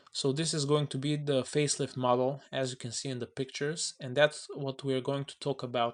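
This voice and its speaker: A man's fairly quick, monotone delivery with flat intonation against a quiet background. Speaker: car enthusiast YouTuber. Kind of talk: tutorial. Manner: halting.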